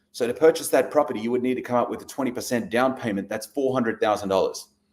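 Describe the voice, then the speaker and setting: Medium pitch in an Australian accent, from a man. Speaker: real estate investor. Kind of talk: live stream presentation. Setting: livestream. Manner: casual, conversational.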